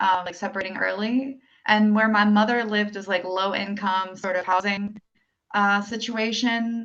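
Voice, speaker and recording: At a moderate pace, a woman with a plain, everyday voice speaks at a fairly high pitch. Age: 30s. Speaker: independent musician. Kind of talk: casual interview chat.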